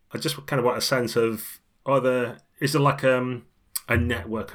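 A man speaks with a British accent. The recording is very clean, the background silent. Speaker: podcast host. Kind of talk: casual chat.

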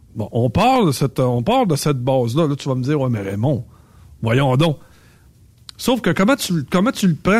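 Somewhat breathy and fairly high-pitched, a man speaks at a fairly slow pace with lively intonation. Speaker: trucking recruiter and driving coach. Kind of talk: casual chat.

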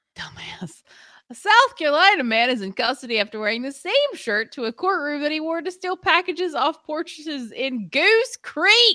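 A woman's high, bright, sharp voice, raised and projected, with very wide pitch swings. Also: moderate pace, dry, close sound with no echo. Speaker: podcast co-host. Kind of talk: casual chat. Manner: animated.

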